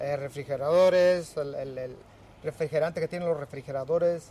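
A man with a fairly high pitch, speaking at a moderate pace with fairly even intonation. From Mexico, Michoacán. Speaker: recycling center worker. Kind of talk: interview. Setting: recycling center. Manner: halting.

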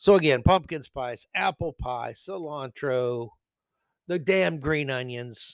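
A man's animated voice with ordinary pitch variation, dry and close with no echo, on a very clean recording over a silent background. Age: 50s. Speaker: podcast host. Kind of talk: solo commentary monologue.

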